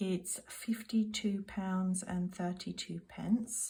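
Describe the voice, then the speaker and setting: A woman with a British accent speaks at a very slow pace in a dark, mellow tone at medium pitch, her intonation fairly even and her voice somewhat breathy. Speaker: budgeting vlogger. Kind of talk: casual monologue to camera. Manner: soft-spoken.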